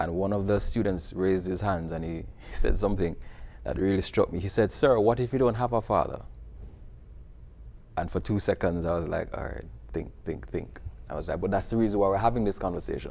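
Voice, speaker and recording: A man in a Jamaican accent, fairly low-pitched, with vocal fry, a dark, mellow tone, ordinary pitch variation, a fairly quick pace and long, frequent pauses. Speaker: video series producer and teacher. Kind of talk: TV interview.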